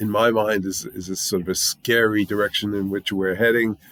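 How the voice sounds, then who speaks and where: Speaking at a fairly slow pace, this man has a fairly low pitch. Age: 60s. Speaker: music YouTuber reviewing albums. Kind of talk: casual album review monologue. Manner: conversational with frequent fillers.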